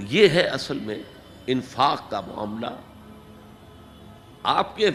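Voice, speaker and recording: A man's voice rises and falls across a very wide pitch range, with noticeable background noise behind it. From Pakistan. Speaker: Islamic scholar. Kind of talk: religious sermon.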